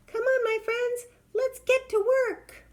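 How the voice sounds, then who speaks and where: In a put-on character voice, extremely high-pitched and squeaky, the speaker goes at a fairly slow pace with monotone, flat intonation. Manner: encouraging, determined.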